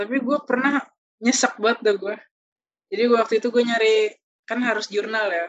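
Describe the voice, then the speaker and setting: At a fairly quick pace but with long, frequent pauses, a woman speaks in a fairly high voice with fairly even intonation. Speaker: podcast host, university student. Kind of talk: casual chat.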